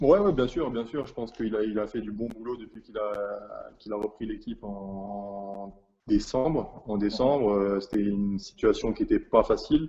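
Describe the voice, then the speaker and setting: At a moderate pace, a man talks in a dark, mellow, medium-pitched voice with ordinary pitch variation and big swings in loudness. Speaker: professional basketball player. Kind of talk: interview. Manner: halting, many repetitions and fillers.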